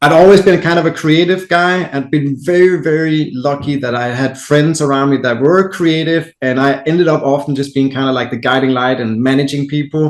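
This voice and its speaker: With a Danish accent, a man talks at a fairly quick pace with fairly high pitch and hardly any pauses, against noticeable background noise. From Denmark. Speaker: entrepreneur. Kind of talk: podcast interview.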